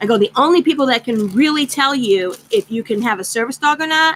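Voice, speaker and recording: Loud and animated, a woman speaks at a high pitch and a fairly quick pace with lively intonation. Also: dry, close sound with no echo. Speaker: craft channel vlogger. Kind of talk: casual chat.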